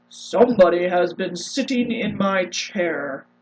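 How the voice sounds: A man puts on a character voice with a high pitch. He delivers it at a fairly slow pace.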